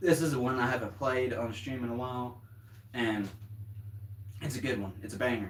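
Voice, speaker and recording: In a Southern US accent, a man at medium pitch speaks at a moderate pace with ordinary pitch variation and long, frequent pauses, amid audible room echo and noticeable background noise. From US South. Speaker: drummer streamer. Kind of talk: casual livestream chat. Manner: rambling, casual.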